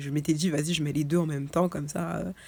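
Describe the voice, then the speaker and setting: A woman talks at a fairly quick pace. Her tone is dark and mellow, with vocal fry. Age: 20s. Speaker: lifestyle vlogger. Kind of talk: casual vlog talk. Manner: halting, many fillers.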